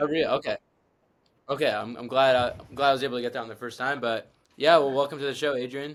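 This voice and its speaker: Talking very fast in an American accent, a man with a fairly high pitch keeps a monotone, flat intonation, with big swings in loudness and long, frequent pauses. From Southern California. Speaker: student podcast host. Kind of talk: interview.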